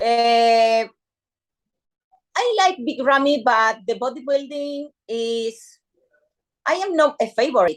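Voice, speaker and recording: Speaking very slowly with long, frequent pauses, a woman with a Spanish accent uses a high pitch and lively intonation. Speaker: bikini fitness athlete. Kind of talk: interview. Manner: halting.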